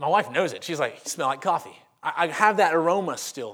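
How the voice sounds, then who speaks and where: A Southern US accent with ordinary pitch variation, in a very clean recording with a silent background. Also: man. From Louisiana, Monroe. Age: 30s. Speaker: pastor. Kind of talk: sermon. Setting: church.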